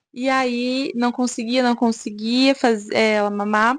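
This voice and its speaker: Her voice an unremarkable speaking voice, a woman speaks at a fairly high pitch with lively intonation. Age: 20s. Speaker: mom vlogger. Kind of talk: personal testimony vlog. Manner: casual, conversational.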